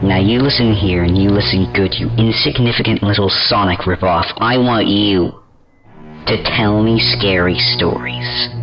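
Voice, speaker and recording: A man's put-on character voice, fairly low in pitch, with faint music in the background. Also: moderate pace. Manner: angry, shouting.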